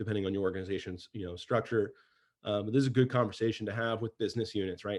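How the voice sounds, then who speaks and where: The man's voice sits at a fairly low pitch with fairly even intonation. The background is quiet. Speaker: cybersecurity researcher presenting his framework. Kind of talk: webinar presentation. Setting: online webcast. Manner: fast; many fillers and restarts.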